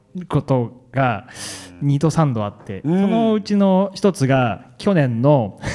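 A man talks at a very slow pace. His pitch is fairly high and swings very widely. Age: 50s. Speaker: ultramarathon runner. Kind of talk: interview on stage.

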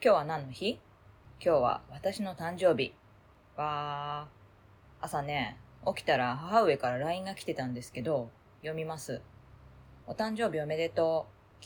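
A woman speaks at a fairly slow pace in a very deep, low voice with a somewhat breathy quality. The recording is very clean, with a silent background. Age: 40s. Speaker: voice diary podcaster. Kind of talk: casual personal voice diary monologue.

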